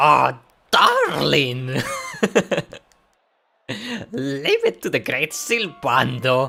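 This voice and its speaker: In a raspy, put-on character voice of low-to-middle pitch, the speaker moves at a very slow pace with long, frequent pauses. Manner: exaggerated, theatrical.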